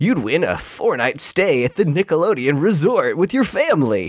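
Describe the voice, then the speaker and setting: A man performs a put-on character voice, high-pitched for a man. He speaks at a moderate pace with very wide pitch swings. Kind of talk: showy, promotional. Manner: peppy, booming.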